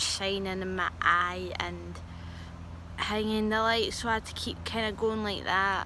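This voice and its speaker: Audible room echo surrounds this woman's voice as she talks at a fairly slow pace. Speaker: vlogger who says she is a medium. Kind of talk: casual storytelling vlog. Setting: outdoors in a garden. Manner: quiet, soft-spoken; hesitant with fillers.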